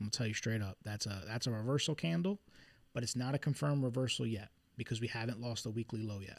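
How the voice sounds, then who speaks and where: Speaking fairly quickly with a Philadelphia accent, a man is heard on a very clean recording with a silent background. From Philadelphia, US. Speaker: trader streaming market analysis. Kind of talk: live stream chart analysis. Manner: casual, conversational.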